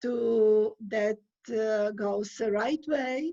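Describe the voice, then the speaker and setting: With a non-native accent, a woman speaks very slowly in a fairly high pitch. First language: not English. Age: 60s. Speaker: immigrant sharing life story. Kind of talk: interview. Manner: halting, many hesitations.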